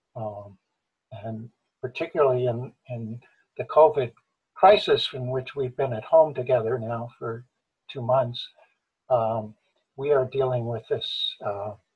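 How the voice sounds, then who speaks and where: Somewhat breathy, a man talks at a medium pitch with ordinary variation. His pace is fairly slow, broken by long, frequent pauses. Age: 70s. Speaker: member of men's gender equality network. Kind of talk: online group discussion. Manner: halting, many fillers.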